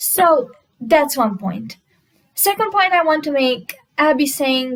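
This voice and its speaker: With very wide pitch swings, a woman talks in a non-native accent. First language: not English. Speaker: commentary YouTuber. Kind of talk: reaction video commentary.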